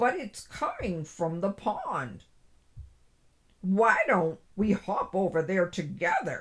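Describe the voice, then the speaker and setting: At a very slow pace, a female-sounding voice delivers a put-on character voice at a middle pitch. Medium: read story.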